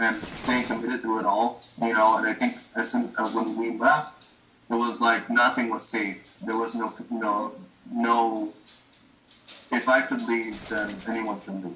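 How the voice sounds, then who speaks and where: Audible room echo and light background noise surround a man speaking fairly slowly. His intonation is flat and monotone. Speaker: remote interviewee. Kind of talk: interview answer. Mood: reflective, emotional. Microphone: video call.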